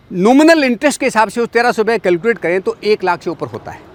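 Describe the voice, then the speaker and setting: At a moderate pace, a man with an extremely high pitch speaks with lively intonation in a dry, close sound with no echo. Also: big swings in loudness. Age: 50s. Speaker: farmer and rural commentator. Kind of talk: talk show discussion. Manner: emphatic.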